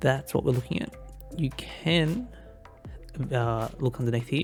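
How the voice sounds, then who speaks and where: A man's voice with music in the background. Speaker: gaming video creator. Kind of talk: casual gameplay commentary.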